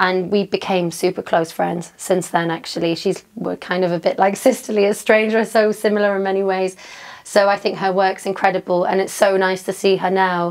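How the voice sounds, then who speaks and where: Noticeable background noise behind a woman at a medium pitch, talking at a moderate pace in a monotone, flat intonation. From northern England, Newcastle. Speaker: DJ and fitness trainer. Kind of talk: interview. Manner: casual, filler-heavy.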